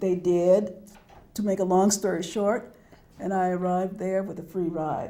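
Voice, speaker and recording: Audible room echo surrounds a woman speaking at a medium pitch and moderate pace in a monotone, flat intonation. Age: 70s. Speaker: author and educator. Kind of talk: interview.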